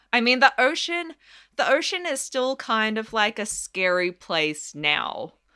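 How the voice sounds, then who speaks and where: On a very clean recording with a silent background, a woman with an Australian accent speaks at a fairly high pitch, with very wide pitch swings. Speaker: palaeontologist. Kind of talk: casual educational interview.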